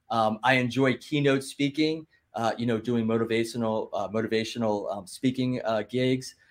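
A man with an American accent speaks at a medium pitch with fairly even intonation, in an unremarkable speaking voice. The recording is very clean, with a silent background. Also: moderate pace. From Philadelphia / South Jersey. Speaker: entrepreneur and podcaster. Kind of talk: casual chat.

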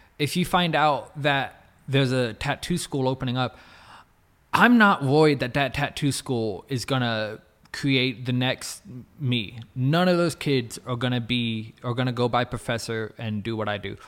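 With an American accent and an ordinary speaking voice, a man talks at a moderate pace and medium pitch with ordinary pitch variation, on a very clean recording with a silent background. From Texas, Plano. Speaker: tattoo artist. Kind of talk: casual chat.

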